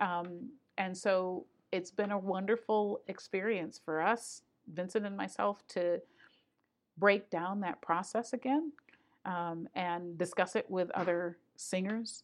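Speaking very slowly with an American accent, a woman keeps a medium pitch and ordinary pitch variation over a quiet background. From Michigan. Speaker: opera artistic director. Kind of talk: interview. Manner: animated.

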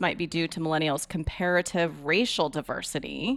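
A plain, everyday voice moves at a moderate pace in a very clean recording with a silent background. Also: woman. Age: 40s. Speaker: radio host. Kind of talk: casual chat. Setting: studio.

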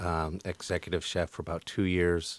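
This man's voice is very deep and low. He speaks at a moderate pace in a very clean recording with a silent background. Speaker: chef. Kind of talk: radio interview. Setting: studio. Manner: halting.

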